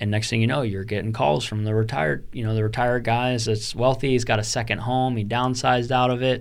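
A man speaks at a fairly quick pace in an ordinary speaking voice. His pitch is medium, with ordinary variation. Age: 20s. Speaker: real estate investor. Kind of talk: interview. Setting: studio.

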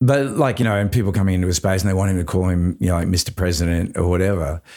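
A man with an Australian accent speaks in an animated tone at a fairly low pitch. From Australia, Queensland. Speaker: actor and musician. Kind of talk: casual interview chat. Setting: video call. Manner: animated, self-deprecating, casual.

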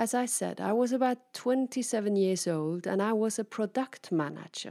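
A woman's dark, mellow voice at a medium pitch and fairly slow pace, with ordinary pitch variation, in a dry, close, very clean recording with a silent background. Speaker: keynote speaker and podcast host. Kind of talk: motivational monologue. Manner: lively.

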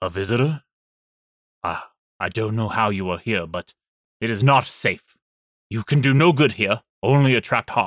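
Doing a put-on character voice at medium pitch, a man speaks at a moderate pace with lively intonation and long, frequent pauses, on a very clean recording with a silent background and a dry, close sound with no echo.

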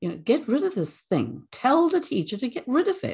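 Against a quiet background, a somewhat breathy woman speaks at a fairly quick pace with very wide pitch swings. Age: 70s. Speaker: retired early childhood professor. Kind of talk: life-story interview. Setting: studio.

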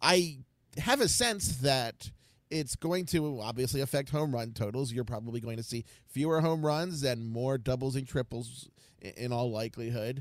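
A man with an American accent and a plain, everyday voice at a moderate pace, in a very clean recording with a silent background. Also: medium pitch for a man, ordinary pitch variation. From US, Baltimore. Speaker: baseball statistician and projections writer. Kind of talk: casual podcast interview.

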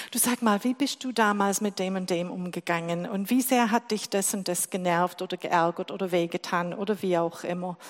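With an English accent, a woman speaks at a moderate pace and medium pitch with ordinary pitch variation, on a very clean recording with a silent background. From England. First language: English (speaking German). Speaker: lay preacher. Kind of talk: sermon.

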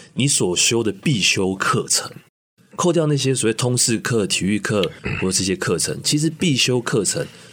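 Here a man talks at a medium pitch. His pitch swings very wide. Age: young. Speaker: university professor. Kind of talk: radio interview.

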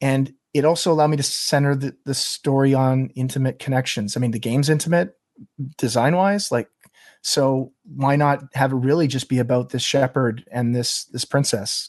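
A man with a medium pitch and ordinary pitch variation talks at a moderate pace, in a dry, close sound with no echo. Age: 40s. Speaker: game developer. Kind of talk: interview. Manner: halting.

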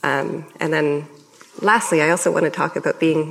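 With a Canadian accent, a woman talks at a moderate pace and a very deep, low pitch with ordinary pitch variation, amid noticeable background noise. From Canada. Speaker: professor. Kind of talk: public panel conversation. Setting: stage with audience.

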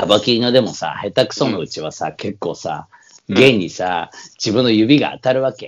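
A man talks at a moderate pace and a medium pitch, with ordinary pitch variation. He has a plain, everyday voice, and his loudness swings widely. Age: 50s. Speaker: podcast co-host, samba musician. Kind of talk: casual chat. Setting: remote recording.

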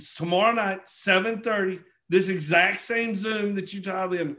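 A man with a southeastern Oklahoma accent speaks in a raised, projected voice, high in pitch with ordinary variation. His tone is bright, sharp, and enthusiastic. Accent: southeastern Oklahoma, Southern US. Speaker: network marketing leader hosting a call. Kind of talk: motivational business call. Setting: group conference call. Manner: halting, filler-heavy, enthusiastic.

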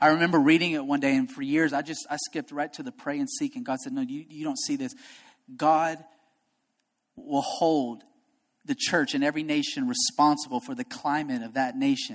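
Delivered at a fairly quick pace, the speech comes through on a very clean recording with a silent background. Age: young. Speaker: pastor. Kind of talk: sermon. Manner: animated.

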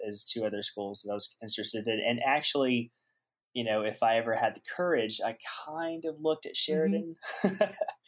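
Lively intonation carries a man's speech at a fairly quick pace. The recording is very clean with a silent background. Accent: Southern US. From US South, Aiken, South Carolina. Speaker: animator. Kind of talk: casual chat.

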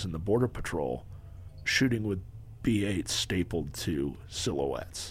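With an American accent and vocal fry, a man talks at a fairly slow pace, his pitch swinging very widely. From Southern California. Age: 50s. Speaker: retired police officer and firearms instructor. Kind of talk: casual interview chat. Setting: podcast studio.

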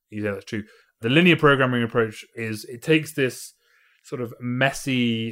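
In a very clean recording with a silent background, a man speaks with a British accent. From Britain. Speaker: mathematician and physicist. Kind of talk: interview. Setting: in person over drinks.

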